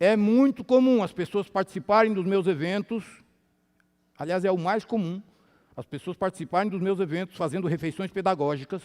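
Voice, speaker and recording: The recording is very clean with a silent background. A man speaks at a high pitch and a fairly quick pace, with ordinary pitch variation. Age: 60s. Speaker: health lecturer. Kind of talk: sermon-style health lecture. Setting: church with audience. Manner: animated.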